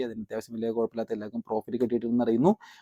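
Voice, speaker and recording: The man's medium-pitched voice has a dark, mellow tone in a dry, close sound with no echo. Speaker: crypto tutorial youtuber. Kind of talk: tutorial.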